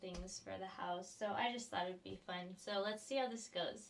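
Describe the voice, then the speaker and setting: A soft-spoken woman talks at a moderate pace. Her voice sits at a medium pitch with ordinary pitch variation. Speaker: vlogger. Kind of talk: casual chat. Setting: home studio. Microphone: sounds very quiet on camera mic.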